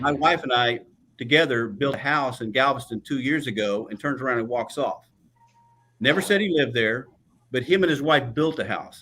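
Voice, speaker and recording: Music plays in the background as a man talks at a fairly quick pace with a Texan accent. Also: medium pitch for a man, ordinary pitch variation. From Texas Gulf Coast. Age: 60s. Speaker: political candidate. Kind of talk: candidate forum debate.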